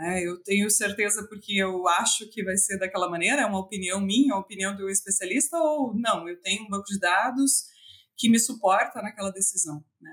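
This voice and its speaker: This is a normal speaking voice with ordinary pitch variation. It moves at a fairly quick pace with big swings in loudness. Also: woman, medium pitch for a woman. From Brazil, western Santa Catarina. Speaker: animal science professor and researcher. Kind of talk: interview.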